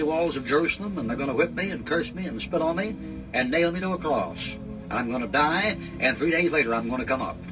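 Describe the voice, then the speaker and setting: Over music in the background, a man talks at a very fast pace in an animated tone with lively intonation. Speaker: Bible preacher. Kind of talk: ad-lib Bible commentary retelling a story in colloquial speech. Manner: folksy, conversational, animated.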